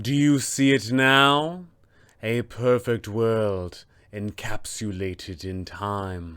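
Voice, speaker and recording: On a very clean recording with a silent background, a man uses a put-on character voice at a medium pitch and a very slow pace. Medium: tutorial demo. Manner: imperious, menacing.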